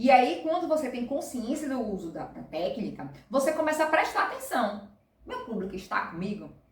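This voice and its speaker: A woman with a high pitch swings it very widely, her voice carrying an audible room echo. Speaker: presentation skills instructor. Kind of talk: tutorial. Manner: fast.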